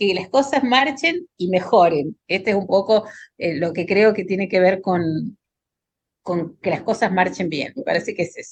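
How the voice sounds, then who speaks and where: A plain, everyday voice from a woman at medium pitch with ordinary pitch variation. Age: 60s. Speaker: pediatric hematologist. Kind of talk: panel discussion.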